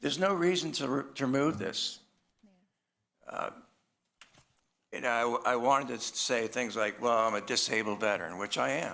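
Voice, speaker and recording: With an American accent and a bright, sharp tone, a man speaks in lively intonation, leaving long, frequent pauses. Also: medium pitch for a man, moderate pace. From Boston area. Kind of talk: public comment at council meeting. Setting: council chamber. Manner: halting, many fillers.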